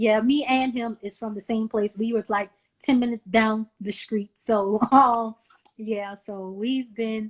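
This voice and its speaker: A woman with a Southern US accent speaks at a fairly slow pace, her fairly high voice in a flat monotone. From US South, small-town South Carolina. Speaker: nonprofit founder and event host. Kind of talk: interview.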